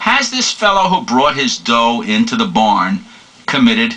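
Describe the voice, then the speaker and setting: A man with a New York accent speaks at a fairly slow pace. His pitch swings very widely over noticeable background noise. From New York City. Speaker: law lecturer. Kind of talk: lecture.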